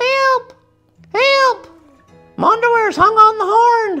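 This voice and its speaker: Faint music plays behind a put-on character voice pitched extremely high and delivered at a very slow pace. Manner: panicked, shouting.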